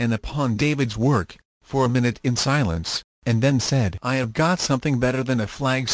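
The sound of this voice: An unforced reading voice with quiet all around it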